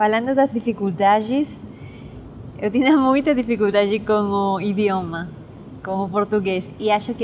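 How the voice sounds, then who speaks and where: Over noticeable background noise, a woman talks at a fairly slow pace and medium pitch with ordinary pitch variation. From Peru, Lima. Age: 20s. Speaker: musician and student. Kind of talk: interview. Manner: halting, code-switching Spanish and Portuguese.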